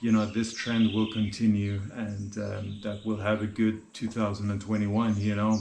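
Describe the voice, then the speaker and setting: Audible room echo surrounds a man's fairly low voice. He speaks at a moderate pace with monotone, flat intonation. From Norway. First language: Norwegian. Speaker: vlogger and guesthouse owner. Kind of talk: casual vlog talk to camera. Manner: hesitant, many fillers and repetitions.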